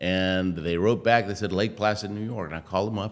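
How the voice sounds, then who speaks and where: With an American accent, a man has a normal speaking voice, fairly low in pitch, with ordinary pitch variation. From Argentina, then US (Houston). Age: 60s. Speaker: Olympic athlete, motivational speaker. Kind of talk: interview.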